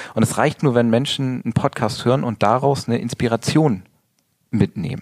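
Sounding dry and close with no echo, a man uses an ordinary speaking voice at medium pitch and a fairly quick pace. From northern Germany, rural area between Bremen and Hamburg. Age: 40s. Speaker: model and Instagram coach. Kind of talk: interview. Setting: studio.

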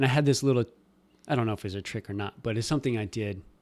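A man with an American accent talks at a very fast pace in a fairly low pitch with ordinary pitch variation. The recording is very clean, with a silent background. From Nebraska. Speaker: podcast host. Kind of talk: interview.

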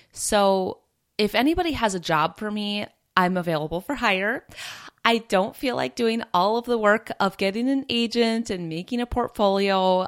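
The recording is very clean with a silent background as a woman speaks at a moderate pace, her medium pitch varying in an ordinary way. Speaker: podcast host. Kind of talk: scripted-style educational talk. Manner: relaxing, calm.

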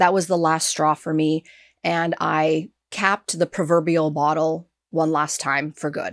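A woman talks at a moderate pace in a plain, everyday voice with a fairly low pitch. The recording is very clean, with a silent background. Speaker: podcast host. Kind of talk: interview conversation.

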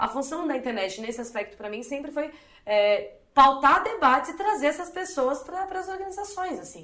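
A woman with a high pitch and a bright, sharp tone speaks at a moderate pace in a raised, projected voice, her pitch swinging very widely. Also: big swings in loudness. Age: 20s. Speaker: activist and communicator. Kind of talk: interview.

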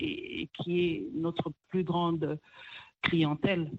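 Very slowly, a woman speaks at a fairly low pitch in a somewhat breathy voice. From DR Congo, Kivu. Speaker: restaurant owner. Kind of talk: interview.

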